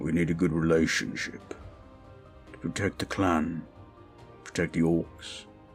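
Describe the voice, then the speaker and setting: Clear music plays behind a man doing a put-on character voice, very deep in pitch, at a moderate pace. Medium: audio drama. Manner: formal, restrained.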